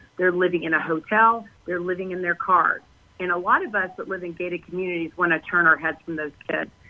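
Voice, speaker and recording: A woman with an American accent, fairly low pitch, and fairly even intonation, at a fairly quick pace over noticeable background noise. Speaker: healthcare worker and parent activist. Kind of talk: radio interview.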